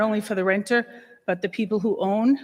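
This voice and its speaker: This woman's fairly high voice keeps a fairly even intonation. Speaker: property owner speaking at public comment. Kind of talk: public comment at council meeting. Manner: halting, many fillers.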